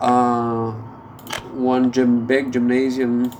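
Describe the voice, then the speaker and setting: A man with a non-native accent speaks at a medium pitch. There is audible room echo and noticeable background noise. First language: not English. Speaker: gameplay video creator. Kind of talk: gameplay commentary. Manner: halting, many fillers.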